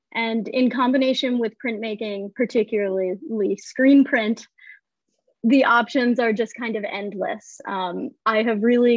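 At a moderate pace, a woman speaks with a fairly high pitch and fairly even intonation, the sound dry with no echo and the background quiet. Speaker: graduate art student; panelist. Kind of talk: panel discussion. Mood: friendly, smiling. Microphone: earbuds.

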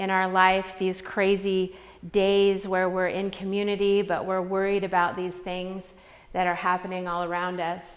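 At a moderate pace, a woman talks in a monotone with flat intonation. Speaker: yoga instructor. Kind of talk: class instruction. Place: gym.

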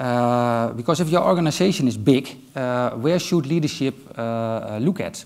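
A man speaks with a Dutch accent at a medium pitch. His pace is moderate, with ordinary pitch variation. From Netherlands. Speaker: IT manager; conference speaker. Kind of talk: conference talk. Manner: hesitant, many filler sounds. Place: stage. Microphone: headset.

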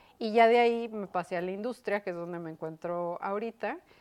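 A woman's fairly even intonation accompanies her moderate pace. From northern Mexico, Chihuahua. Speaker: educator and university administrator; educator. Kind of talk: interview. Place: studio. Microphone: lapel.

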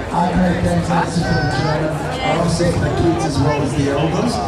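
Audible room echo and crowd noise in the background. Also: man. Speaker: event announcer. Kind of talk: public announcement. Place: street.

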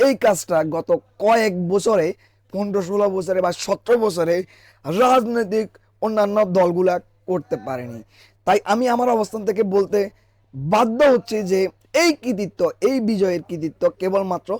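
A man with a high-pitched voice speaks in a dry, close recording with no echo. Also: ordinary pitch variation. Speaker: YouTube vlogger. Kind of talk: vlog narration over event footage. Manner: halting.

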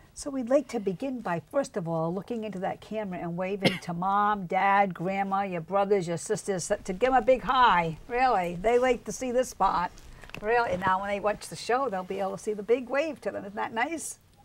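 A woman speaks at a moderate pace with hardly any pauses, ordinary pitch variation and big swings in loudness. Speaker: talk show host. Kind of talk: interview questions. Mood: warm, encouraging. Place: studio.

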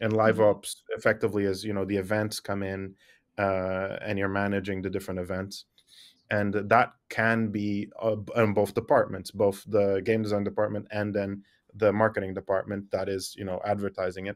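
A man talks at a moderate pace and fairly low pitch. His intonation is monotone and flat against a quiet background. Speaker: remote podcast guest. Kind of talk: interview answer. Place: office.

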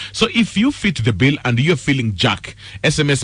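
His voice carries vocal fry as this man's pitch swings very widely. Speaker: radio host. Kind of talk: radio dating segment. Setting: studio. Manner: casual.

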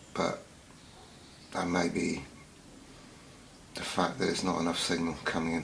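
A man speaks with a very deep, low pitch. There is light background noise. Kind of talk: casual product test commentary. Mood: dry, mildly critical. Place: home room. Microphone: phone near.

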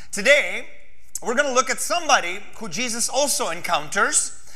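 A man raises and projects his voice, his pitch swinging very widely. The background is quiet. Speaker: pastor. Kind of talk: sermon. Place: church. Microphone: lapel.

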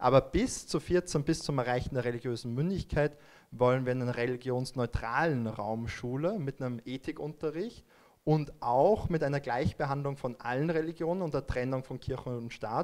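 Ordinary pitch variation from a man speaking at a moderate pace. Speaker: politician. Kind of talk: panel discussion. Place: meeting room. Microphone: handheld.

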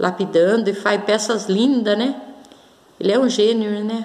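Her pace is fairly slow as a woman talks. She keeps her intonation fairly even. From Brazil. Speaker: crystal and gemstone video blogger; gemstone video blogger. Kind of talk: casual show-and-tell vlog. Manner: hesitant, many fillers. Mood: warm, grateful, calm. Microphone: phone near.

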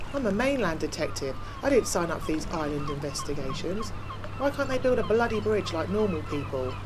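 A put-on character voice rumbles at a middle pitch and a fairly quick pace. Loud background noise runs underneath. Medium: audio drama. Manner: grumbling, sardonic.

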